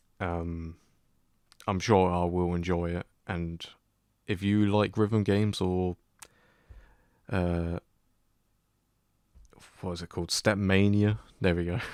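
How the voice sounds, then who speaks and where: Speaking very slowly with long, frequent pauses, a man with a very deep, low voice holds a monotone, flat delivery on a very clean recording with a silent background. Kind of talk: casual unscripted talk to camera. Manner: hesitant, lots of stuttering and filler words.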